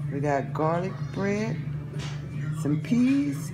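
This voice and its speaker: The speech moves at a very slow pace with clear music in the background. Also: woman. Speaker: home cook vlogger. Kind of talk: casual vlog chat. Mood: warm, upbeat, blessing viewers. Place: kitchen. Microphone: phone near.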